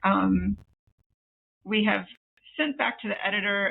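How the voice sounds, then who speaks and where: A woman talks with an American accent. She goes at a fairly slow pace. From United States. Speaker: co-writing author. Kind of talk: podcast interview. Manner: hesitant, many fillers.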